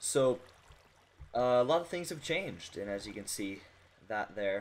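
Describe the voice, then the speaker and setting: A man keeps a moderate pace and lively intonation as he talks. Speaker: gaming video creator. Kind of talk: gameplay commentary. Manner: halting, self-correcting.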